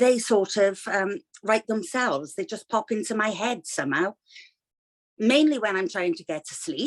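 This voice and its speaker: Here a woman speaks in a Welsh accent, fairly high in pitch with lively intonation, at a moderate pace. The sound is dry and close, without echo. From Wales. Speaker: children's author, retired teacher. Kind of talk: interview. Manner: hesitant, many fillers.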